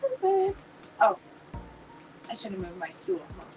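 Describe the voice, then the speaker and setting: A woman's pitch swings very widely, with music in the background. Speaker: crafting livestream host. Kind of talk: casual livestream tutorial. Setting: live stream from home craft room. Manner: chatty.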